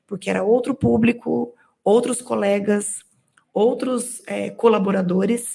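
This woman has a plain, everyday voice at a medium pitch. She speaks at a fairly slow pace. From Minas Gerais, small town. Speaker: technical director. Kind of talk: interview.

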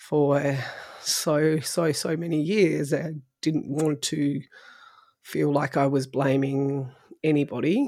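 A woman with an Australian accent, very deep and low in pitch, dark, mellow and warm in tone, fairly even in intonation, at a very slow pace, on a very clean recording with a silent background. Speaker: podcast host. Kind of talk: interview conversation. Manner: laughs often, warm.

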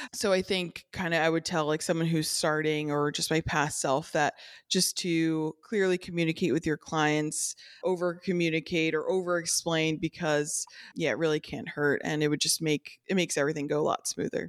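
A woman's ordinary speaking voice with an American accent, fairly low in pitch, at a moderate pace with fairly even intonation, in a dry, close sound with no echo. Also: very clean recording, silent background. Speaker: small business owner. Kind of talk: interview.

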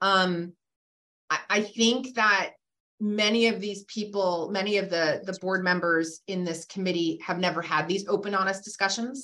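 A woman's unremarkable speaking voice in an American accent, medium in pitch, at a moderate pace with fairly even intonation. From Massachusetts (Randolph, south of Boston). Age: 50s. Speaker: physician and hospital executive. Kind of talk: casual interview conversation. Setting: video call.

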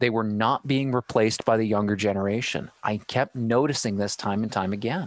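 With a Canadian accent, a man in a normal speaking voice talks at a fairly quick pace with fairly low pitch, fairly even intonation and hardly any pauses. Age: 30s. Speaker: live streaming specialist. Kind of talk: casual chat. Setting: video call live stream.

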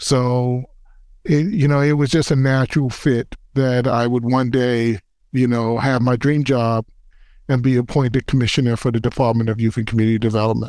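Over a silent background in a very clean recording, a man with a New York accent speaks at medium pitch with fairly even intonation. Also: moderate pace, very even loudness. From New York City, the Bronx. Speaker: city youth agency commissioner, former basketball player. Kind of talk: interview by a middle-school student.

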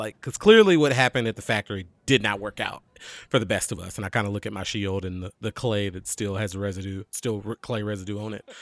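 On a very clean recording with a silent background and a dry, close sound with no echo, a man talks at a very fast pace and a fairly low pitch. His loudness swings widely. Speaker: podcast co-host and roleplaying game player. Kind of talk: casual roleplaying game chat.

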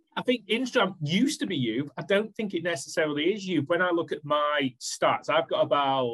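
Recorded with a dry, close sound and no echo, a man with a Manchester accent speaks with lively intonation. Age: 40s. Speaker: social media marketing business owner. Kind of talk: podcast interview.

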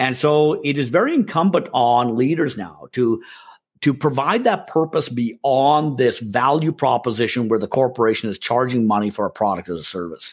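In a normal speaking voice, a man with a Canadian accent talks at a moderate pace at medium pitch, his intonation lively, on a very clean recording with a silent background. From Canada. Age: 50s. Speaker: sales and marketing consultant. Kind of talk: interview.

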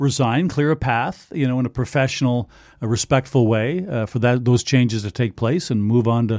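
A man talks at medium pitch in a Canadian accent, with a plain, everyday voice and ordinary pitch variation. The recording is very clean, with a silent background. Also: moderate pace, dry, close sound with no echo. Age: 60s. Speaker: hockey play-by-play broadcaster. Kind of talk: casual interview. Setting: studio.

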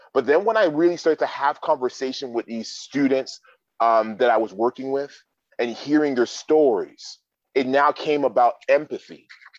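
A man with a plain, everyday voice talks at a moderate pace and fairly high pitch, with ordinary pitch variation. The sound is dry and close, with no echo. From Canada (Toronto). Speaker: motivational speaker and coach. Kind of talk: interview.

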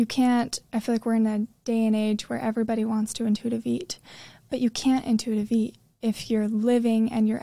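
Speaking at a moderate pace with an American accent, the voice has a dark, mellow tone, is somewhat breathy and stays monotone and flat. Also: woman. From Utah. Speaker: health and wellness coach. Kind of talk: casual interview chat.

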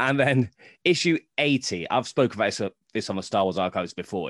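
With a British accent, a man speaks at a moderate pace in a dry, close sound with no echo. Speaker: Star Wars comics historian. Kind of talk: casual interview.

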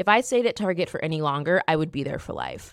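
A woman's voice with very wide pitch swings. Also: very clean recording, silent background. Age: 30s. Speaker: podcast host, career coach. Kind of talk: personal story monologue.

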